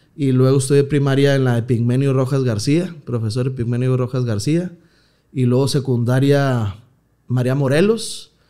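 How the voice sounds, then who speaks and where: A man's medium-pitched voice with a dark, mellow tone, ordinary pitch variation and a moderate pace, against a quiet background. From Mexico, Nuevo León (Villa de Santiago, near Monterrey); Nuevo León, Mexico. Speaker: comedian. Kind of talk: casual chat. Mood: relaxed, joking storytelling. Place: studio. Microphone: studio mic.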